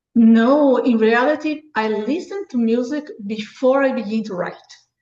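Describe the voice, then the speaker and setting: A woman speaks with a high-pitched voice. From Brazil. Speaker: author and book review site founder. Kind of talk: interview.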